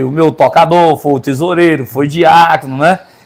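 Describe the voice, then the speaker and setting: A man talks at a moderate pace. His high voice has ordinary pitch variation. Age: 60s. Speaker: pastor. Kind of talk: interview.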